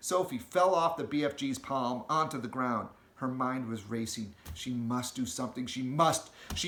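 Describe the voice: The clip contains plain reading aloud.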